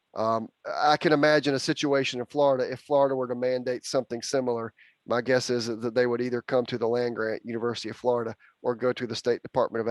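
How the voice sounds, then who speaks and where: A man with a Southern US accent talks at a very fast pace with a medium pitch and fairly even intonation. The recording is very clean with a silent background, and the sound is dry and close with no echo. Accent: Southern US (Georgia). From Georgia, US South. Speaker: university bee expert. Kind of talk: Q&A talk.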